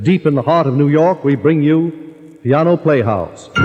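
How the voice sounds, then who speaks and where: Music plays in the background as a man talks. His pitch is fairly high, with ordinary pitch variation. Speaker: radio announcer. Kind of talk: radio program announcer introduction. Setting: vintage radio broadcast from a theater.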